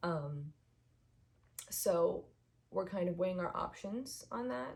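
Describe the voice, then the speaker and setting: A woman speaks very slowly in a fairly low, somewhat breathy voice. Her intonation is lively. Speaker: vlogger. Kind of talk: casual chat. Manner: hesitant, many fillers.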